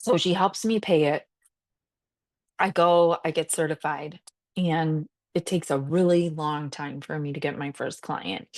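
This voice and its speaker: Speaking in a very deep, low pitch, a woman talks in an animated tone at a fairly slow pace with ordinary pitch variation and long, frequent pauses, the sound dry and close with no echo over a quiet background. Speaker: salon owner and podcast host. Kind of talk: casual storytelling monologue.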